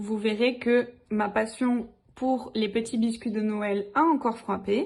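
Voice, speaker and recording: Very slowly, a woman speaks with a southern French accent at a fairly high pitch. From southern France. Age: 20s. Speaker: DIY YouTuber, teacher. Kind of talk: channel introduction video.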